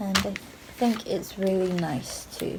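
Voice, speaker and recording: Very slow female speech amid noticeable background noise. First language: Japanese. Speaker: singer-songwriter vlogger. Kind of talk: casual vlog talk. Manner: halting, many fillers.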